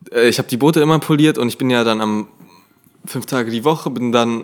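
This man has an unremarkable speaking voice at a medium pitch, speaking at a fairly quick pace with ordinary pitch variation. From Germany, small village. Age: 20s. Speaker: social media creator. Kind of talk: casual chat.

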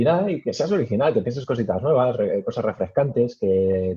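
Somewhat breathy, a man talks at a fairly quick pace with a medium pitch and ordinary pitch variation. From Spain, Madrid region (Alcalá de Henares). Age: 20s. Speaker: tech media founder and YouTuber. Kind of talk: interview.

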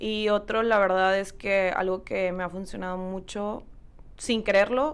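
Speaking fairly slowly at a medium pitch, a woman uses fairly even intonation in a normal speaking voice. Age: 20s. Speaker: entrepreneur, massage therapist. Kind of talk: casual interview chat.

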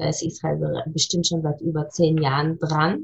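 Her voice sits at a fairly low pitch for a woman. It is somewhat breathy. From Munich, Bavaria. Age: 40s. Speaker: chamber of commerce representative. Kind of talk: podcast interview.

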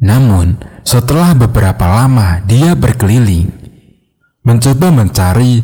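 Somewhat breathy, with a dark, mellow tone at medium pitch, a man talks at a fairly slow pace with lively intonation. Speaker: horror story narrator. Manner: hushed, suspenseful, slow-paced build; shifts into characters' voices, uneasy and nervous in dialogue.

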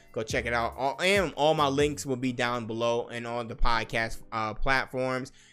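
A man's voice with music in the background. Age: 30s. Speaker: gaming and fitness podcast host. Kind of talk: casual solo podcast monologue. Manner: animated.

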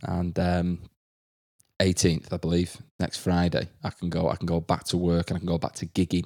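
On a very clean recording with a silent background, a man speaks with an English accent. His pitch is very deep and low, and his pace is moderate. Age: 20s. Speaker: podcast host and primary school teacher. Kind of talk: casual chat. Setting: at home in isolation.

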